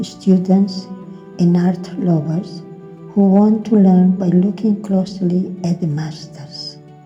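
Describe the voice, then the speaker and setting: A woman speaks at a very slow pace. Her intonation is monotone and flat, with music playing in the background. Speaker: artist. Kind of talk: art education narration.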